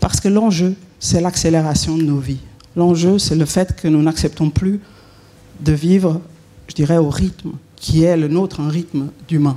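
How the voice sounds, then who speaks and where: A woman with a Swiss accent speaks with fairly even intonation and long, frequent pauses. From Switzerland. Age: 50s. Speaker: consultant and author. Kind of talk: conference talk. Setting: conference hall with audience.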